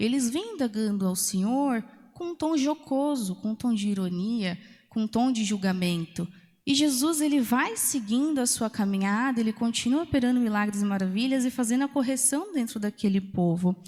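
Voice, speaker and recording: A woman's fairly high-pitched voice, dark and mellow in tone, with lively intonation at a moderate pace. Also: very clean recording, silent background. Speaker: preacher. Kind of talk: sermon. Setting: church.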